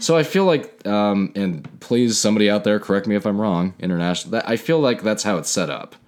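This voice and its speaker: A man talks at a fairly quick pace. He hardly pauses at all. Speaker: podcast co-host. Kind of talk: reading aloud; casual chat. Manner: quiet in narrator mode.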